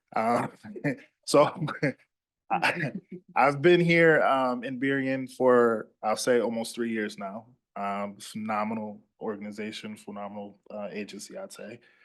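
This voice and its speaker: With a Louisiana accent, the speaker goes at a fairly slow pace with long, frequent pauses, big swings in loudness and ordinary pitch variation. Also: man, medium pitch for a man. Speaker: police officer. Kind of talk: public presentation to city council.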